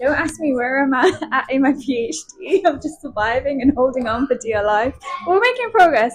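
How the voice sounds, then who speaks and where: Over noticeable background noise, a woman with a slight Birmingham accent speaks at a high pitch and a moderate pace, with ordinary pitch variation. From Birmingham, England. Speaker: PhD student. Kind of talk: casual chat. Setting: cafe.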